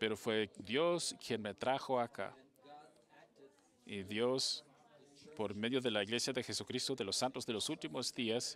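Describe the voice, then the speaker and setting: With a Portuguese accent, a man talks at a medium pitch and a fairly slow pace, using ordinary pitch variation and long, frequent pauses. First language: Portuguese (speaking Spanish). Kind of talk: panel speech. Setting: conference panel.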